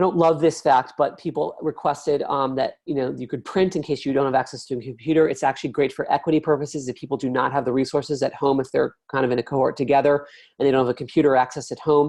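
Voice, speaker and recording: A man talks at a very fast pace with hardly any pauses against a quiet background. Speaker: product demo presenter; presenter. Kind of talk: software demo presentation. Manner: animated. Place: home room. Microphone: webcam.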